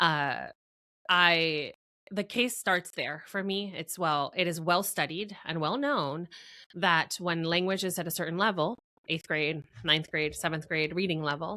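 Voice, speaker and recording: Speaking fairly slowly, a woman has a fairly low pitch and a bright, sharp tone. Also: ordinary pitch variation. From Venezuela, then Florida. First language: Spanish. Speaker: marketing strategist. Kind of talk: interview conversation. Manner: hesitant, many fillers.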